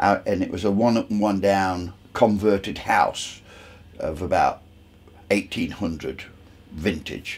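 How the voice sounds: Speaking slowly with long, frequent pauses, a man uses a low pitch with ordinary pitch variation and a slightly husky edge.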